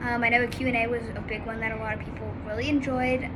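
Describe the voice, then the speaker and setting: A woman's fairly quick speech comes with noticeable background noise and audible room echo. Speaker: vlogger in halo traction. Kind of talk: casual vlog. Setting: outdoors.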